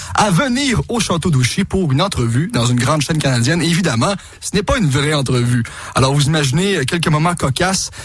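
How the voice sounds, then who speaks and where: Against music in the background, a man with a Quebec accent talks fairly quickly in a fairly high voice with lively intonation. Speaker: TV prankster and radio host. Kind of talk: radio interview.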